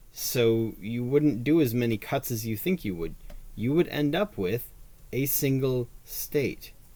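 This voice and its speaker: A man's dark, mellow, medium-pitched voice, lively intonation and fairly slow pace. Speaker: podcast host. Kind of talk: casual monologue on politics.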